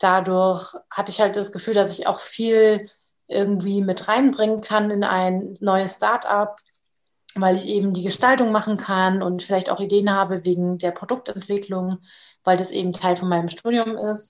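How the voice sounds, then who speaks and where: Moderate pace with monotone, flat intonation. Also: woman, medium pitch for a woman. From Bavaria. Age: 20s. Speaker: startup co-founder and design student. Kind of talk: casual interview chat.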